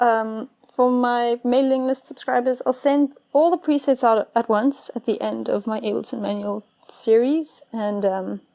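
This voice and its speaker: A high-pitched woman mumbles in a dark, mellow tone. She goes at a fairly slow pace with ordinary pitch variation. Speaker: music producer and tutorial youtuber. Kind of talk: tutorial. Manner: casual, with many fillers; slightly mumbling. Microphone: problematic microphone.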